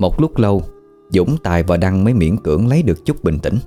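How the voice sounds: Natural voice reading aloud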